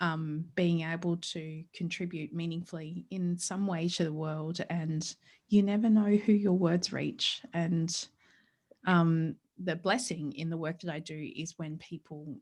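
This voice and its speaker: In a very clean recording with a silent background, a woman speaks with an Australian accent. Her pitch is fairly low, her intonation fairly even, and her pace fairly slow. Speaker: psychologist and author. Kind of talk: interview conversation.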